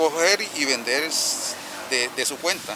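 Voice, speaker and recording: Through noticeable background noise comes a man with lively intonation. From Córdoba, Colombia (Tuchín). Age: 40s. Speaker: street coffee vendor. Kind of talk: testimony.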